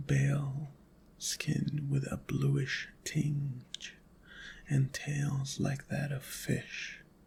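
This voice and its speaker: Whispering quietly, a man speaks at a very slow pace. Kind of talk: first-person horror story narration. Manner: whispered; slow, quiet, relaxing.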